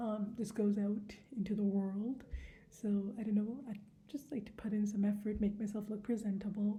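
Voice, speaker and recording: A woman with a dark, mellow tone and a somewhat breathy, fairly high voice speaks amid audible room echo. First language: not English. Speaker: book vlogger. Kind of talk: casual chat. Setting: indoors at home. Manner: hesitant, many fillers.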